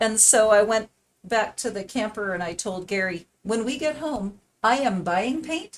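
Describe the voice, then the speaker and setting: A woman speaks with an unremarkable speaking voice at a fairly high pitch. Her intonation is lively and her pace fairly slow. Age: 60s. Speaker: art tutor on live stream. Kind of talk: casual chat during paint-along tutorial. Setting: live stream. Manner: conversational, with many fillers.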